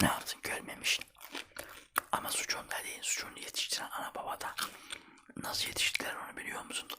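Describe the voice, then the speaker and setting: A man whispers at a fairly quick pace, pausing long and often. There is noticeable background noise. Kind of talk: casual talk to camera, ASMR-style chat. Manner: whispered, soft-spoken.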